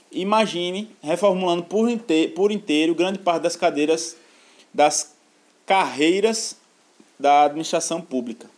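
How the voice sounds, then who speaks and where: Pitched high, a man talks at a fairly slow pace with lively intonation. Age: 20s. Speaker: podcast co-host, university student. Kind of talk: casual news discussion.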